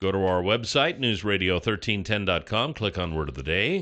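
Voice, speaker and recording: A man's booming, fairly low voice moves along at a moderate pace. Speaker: radio show host. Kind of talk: broadcast announcer style. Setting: radio studio.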